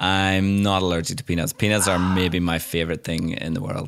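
A man's very deep, low voice at a very fast pace, with lively intonation over noticeable background noise. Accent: Irish. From Ireland. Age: 30s. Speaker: illustrator and designer. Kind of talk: casual interview. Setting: remote call.

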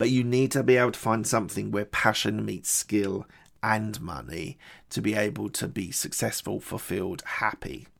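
Over a very clean recording with a silent background, a man with fairly low pitch and vocal fry speaks at a moderate pace with lively intonation. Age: 40s. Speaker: podcast host and entrepreneur. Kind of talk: solo recap monologue.

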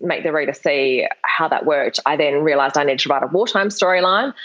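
Speaking in an Australian accent, a woman moves at a fairly quick pace. Her pitch is fairly low and her intonation is lively. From Perth, Western Australia. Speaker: novelist. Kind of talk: interview.

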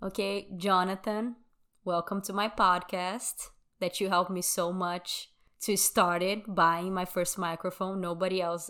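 A woman with a Brazilian accent, medium pitch and monotone, flat intonation, in a very clean recording with a silent background. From Brazil, Sao Paulo. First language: Brazilian Portuguese. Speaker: true crime podcast host. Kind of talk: true crime storytelling.

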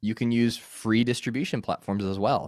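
The speaker moves at a moderate pace in a normal speaking voice. An American accent comes through. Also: man, dry, close sound with no echo. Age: 30s. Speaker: podcaster and former campus minister. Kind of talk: casual interview.

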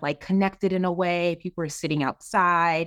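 The recording is very clean and the background silent as a woman speaks in a fairly low pitch. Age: 30s. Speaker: real estate investor and consultant. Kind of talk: interview.

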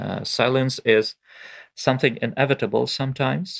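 A man with a Ukrainian accent is heard in dry, close sound with no echo on a very clean recording with a silent background. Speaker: poet. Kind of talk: interview. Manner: halting.

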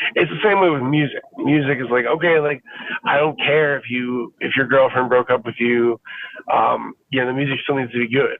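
This man has an unremarkable speaking voice with an American accent and a medium pitch. He talks at a moderate pace with ordinary pitch variation. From Fort Lauderdale, Florida. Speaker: musician and music educator. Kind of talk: casual interview. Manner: relaxed, casual.

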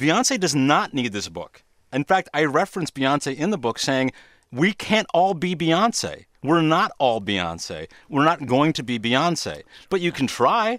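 A man with vocal fry speaks at a fairly high pitch and a fairly slow pace, with very wide pitch swings. The sound is dry and close with no echo, in a very clean recording with a silent background. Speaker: TV producer. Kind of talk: interview conversation. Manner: overly dramatic delivery.

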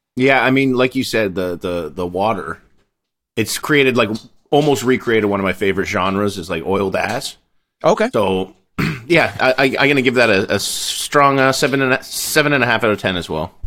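This man's medium-pitched voice has a bright, sharp tone and lively intonation at a fairly quick pace. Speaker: podcast co-host. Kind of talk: casual chat. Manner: energetic.

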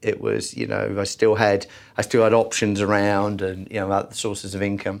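A man with an English accent, fairly low in pitch and monotone with flat intonation, in a very clean recording with a silent background. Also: moderate pace. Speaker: entrepreneur in travel business development. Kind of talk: casual interview. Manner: hesitant, repeats words.

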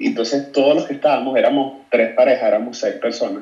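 A man speaks with a Caracas Venezuelan accent. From Venezuela, Caracas. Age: 30s. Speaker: photographer. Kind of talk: casual chat.

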